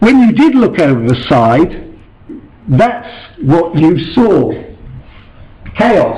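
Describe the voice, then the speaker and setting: A man speaks at a very slow pace in a high voice. The room echo is audible, and background noise is noticeable. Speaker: invited lecturer on ancient ship reconstruction. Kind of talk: lecture. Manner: hesitant with many fillers.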